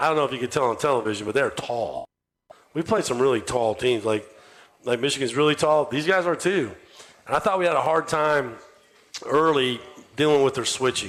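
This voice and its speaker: A man talks fairly quickly in a normal speaking voice with ordinary pitch variation. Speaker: college basketball head coach. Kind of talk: radio show interview answer about a game. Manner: conversational, talkative.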